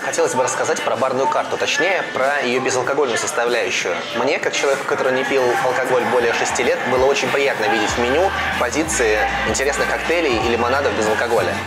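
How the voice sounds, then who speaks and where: A man at a very fast pace over loud background music. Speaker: restaurant reviewer host. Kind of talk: review commentary to camera. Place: bar. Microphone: lapel.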